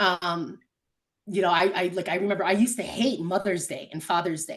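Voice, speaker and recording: In a plain, everyday voice, a woman speaks at a fairly quick pace and medium pitch against a quiet background. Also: ordinary pitch variation. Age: 30s. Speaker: podcast guest, former foster youth. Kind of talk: interview answer.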